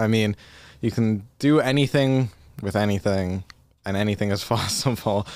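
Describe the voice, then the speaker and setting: A man with a normal speaking voice, fairly low in pitch, talks at a moderate pace in a very clean recording with a silent background. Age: 20s. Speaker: singer-songwriter. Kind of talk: casual chat. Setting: studio.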